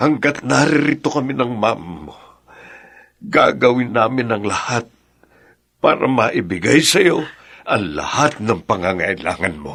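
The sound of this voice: Putting on a character voice, a man speaks at a fairly slow pace and medium pitch, with big pitch swings, a fairly bright tone, vocal fry and a slightly husky edge.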